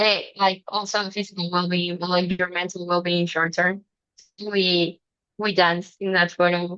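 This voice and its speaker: Speaking in a Spanish accent, a woman has a medium pitch and a bright, sharp tone. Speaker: student presenter. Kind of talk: student presentation.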